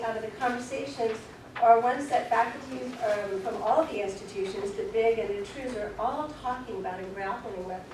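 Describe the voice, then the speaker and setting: A woman's high-pitched voice with lively intonation, noticeable background noise and audible room echo. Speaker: teacher education faculty representative giving a report. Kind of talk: committee meeting report. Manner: fast.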